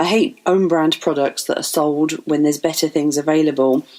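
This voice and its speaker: With an English accent, a woman speaks at a moderate pace in a very deep, low pitch with ordinary pitch variation. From England. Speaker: financial advisor. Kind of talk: podcast monologue.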